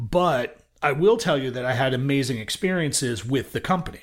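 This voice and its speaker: With an American accent and a medium pitch, a somewhat breathy man talks at a moderate pace with very wide pitch swings, on a very clean recording with a silent background. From US Northeast, Brooklyn, New York. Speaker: music industry sales executive. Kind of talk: interview.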